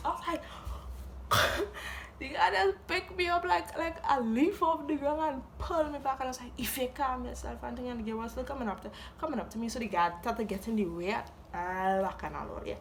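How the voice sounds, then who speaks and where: A woman's high voice with very wide pitch swings and a Trinidadian accent, at a fairly quick pace, over noticeable background noise. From Trinidad and Tobago. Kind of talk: storytime talk to camera. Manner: animated, comedic.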